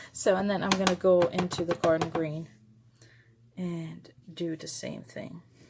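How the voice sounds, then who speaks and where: Over noticeable background noise, the speaker goes at a fairly slow pace with long, frequent pauses, big swings in loudness and a flat, monotone delivery. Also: woman, fairly low pitch for a woman. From Germany. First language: German. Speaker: papercraft video maker. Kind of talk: craft tutorial. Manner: casual, with many fillers.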